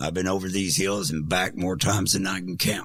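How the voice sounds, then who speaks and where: A man puts on a character voice that is very deep, raspy and hoarse, talking at a fairly quick pace. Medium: solo performance. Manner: flat, terse.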